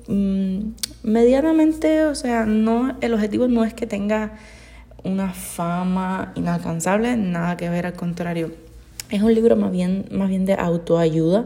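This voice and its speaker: A woman with lively intonation at a very slow pace, with audible room echo and noticeable background noise. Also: medium pitch for a woman. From Cuba. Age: 20s. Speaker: podcaster. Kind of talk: casual monologue.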